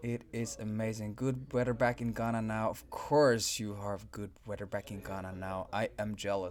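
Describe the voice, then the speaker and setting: With a Swedish accent, a man speaks in a fairly low voice at a moderate pace, using fairly even intonation and hardly any pauses. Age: 30s. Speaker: game livestream host. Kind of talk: live stream chat with viewers. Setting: live stream.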